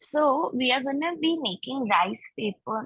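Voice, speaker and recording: Her pitch swings very widely as this woman talks. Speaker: cooking class instructor. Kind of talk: online cooking class. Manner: loud. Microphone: too quiet, hard to hear.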